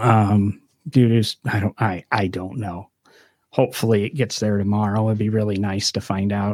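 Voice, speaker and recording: Recorded very clean with a silent background and a dry, close sound with no echo, a man with an ordinary speaking voice talks at a moderate pace, keeping his fairly low pitch in fairly even intonation. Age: 50s. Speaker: car podcast host. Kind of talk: casual chat. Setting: studio.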